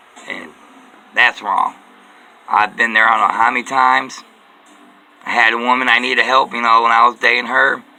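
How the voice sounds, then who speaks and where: A man speaks with long, frequent pauses. Noticeable background noise can be heard. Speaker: vlogger. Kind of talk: personal monologue. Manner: repetitive.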